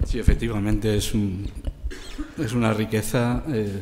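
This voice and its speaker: Dark, mellow male voice with audible room echo. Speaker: literature professor. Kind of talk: panel discussion. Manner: hesitant, many fillers.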